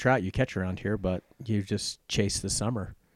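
A man with an American accent speaks at a moderate pace in a normal speaking voice, his pitch fairly low and his intonation fairly even. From Richmond, Virginia. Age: 50s. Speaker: real estate agent. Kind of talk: casual interview.

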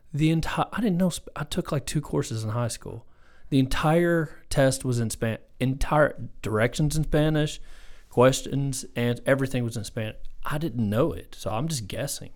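In a very clean recording with a silent background, a man with a Southern US accent speaks at a fairly high pitch. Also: ordinary pitch variation, moderate pace. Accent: Southern American. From US South. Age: 40s. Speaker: math instructional coach. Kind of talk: casual chat.

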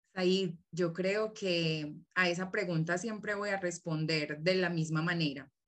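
A woman with a Colombian accent speaks at a fairly low pitch and a fairly slow pace. She barely pauses and keeps her intonation fairly even. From southern Colombia. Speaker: teacher and agroecology researcher. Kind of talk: casual interview chat.

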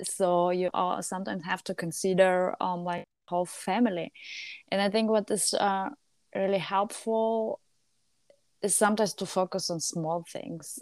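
A woman with a medium pitch speaks at a moderate pace in fairly even intonation, recorded dry and close with no echo on a very clean, silent background. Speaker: podcast host. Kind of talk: casual chat. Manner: halting.

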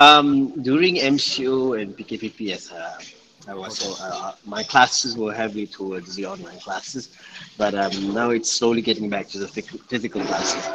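With noticeable background noise behind him, a man of medium pitch speaks at a moderate pace, with ordinary pitch variation and big swings in loudness. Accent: Malaysian. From Johor, Malaysia. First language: Malay. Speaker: part-time English teacher. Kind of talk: casual chat.

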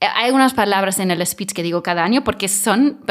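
On a very clean recording with a silent background, a woman speaks in an ordinary speaking voice with ordinary pitch variation. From Mallorca, raised after moving from Germany as a child. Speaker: film festival director and actress. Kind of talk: interview.

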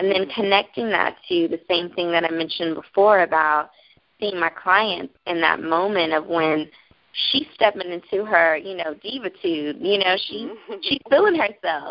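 Speaking at a moderate pace, a woman has a plain, everyday voice with ordinary pitch variation. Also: fairly low pitch for a woman. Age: 30s. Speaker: makeup artist and motivational author. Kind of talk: interview.

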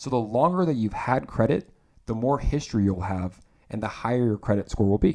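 With an upbeat tone and lively intonation, a man at medium pitch talks at a fairly quick pace in a dark, mellow tone, recorded very cleanly against a silent background. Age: 20s. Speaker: podcast host. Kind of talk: solo podcast talk on personal finance.

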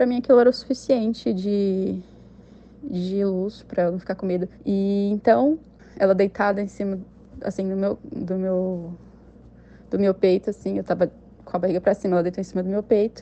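A woman's dark, mellow tone at a moderate pace, broken by long, frequent pauses. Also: medium pitch for a woman, ordinary pitch variation. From interior of São Paulo state, Brazil. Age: 20s. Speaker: listener sharing a paranormal experience. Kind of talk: personal testimony.

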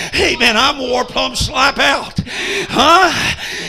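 An animated man speaks at an extremely high pitch amid noticeable background noise. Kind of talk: sermon in a revival meeting, preacher in full flow. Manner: animated, rousing, call-and-response with the congregation; folksy storyteller, comic asides and jokes.

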